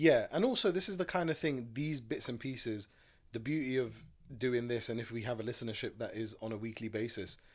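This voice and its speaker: A man at a fairly quick pace with a medium pitch and ordinary pitch variation, on a very clean recording with a silent background. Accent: London. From London. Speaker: podcast co-host. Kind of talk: casual chat.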